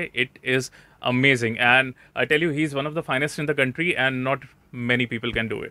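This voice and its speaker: This man's voice sits at a medium pitch and keeps a moderate speed. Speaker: interviewer, vlogger. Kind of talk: vlog-style interview host. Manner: upbeat, enthusiastic.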